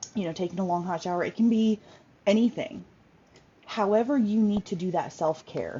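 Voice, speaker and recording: The intonation is lively. The voice sounds somewhat breathy. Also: woman. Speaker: workshop host, self-care coach. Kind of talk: informal online workshop talk. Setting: Facebook live video. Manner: fast; halting, many fillers.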